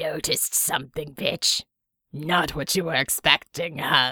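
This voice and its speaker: A put-on character voice, raspy and cackling, delivered at a middle pitch and a moderate pace. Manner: taunting, cackling.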